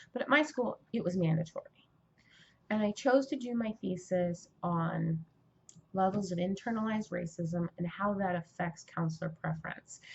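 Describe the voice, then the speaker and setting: A woman with an American accent speaks at a moderate pace, sounding somewhat breathy. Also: medium pitch for a woman. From California. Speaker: aspiring writer and vlogger. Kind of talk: casual vlog monologue. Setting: indoors, Mardi Gras outside window.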